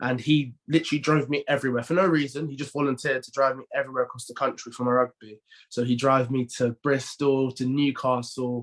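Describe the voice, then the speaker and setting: With a London accent, a man races along at a very fast pace with hardly any pauses, his medium pitch held in a monotone, flat intonation while his loudness swings widely. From North London, England. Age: 20s. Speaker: professional rugby player. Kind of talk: podcast interview. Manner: halting, many repeated words and fillers.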